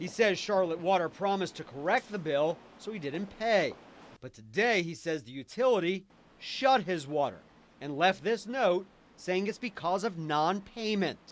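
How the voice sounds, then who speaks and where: High-pitched with lively intonation, a man keeps to a moderate pace. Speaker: local TV news reporter. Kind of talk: TV news package reporting.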